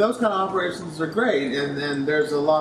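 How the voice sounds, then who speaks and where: Noticeable background noise sits behind a man speaking. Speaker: interviewee. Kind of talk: interview answer. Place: factory.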